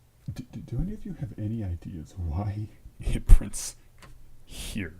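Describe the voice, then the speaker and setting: This man talks at a fairly slow pace in a fairly low pitch, with a dark, mellow, somewhat breathy tone. His intonation is lively and his loudness swings widely. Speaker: programming livestreamer. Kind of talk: live coding stream. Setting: livestream at home. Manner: quiet; halting.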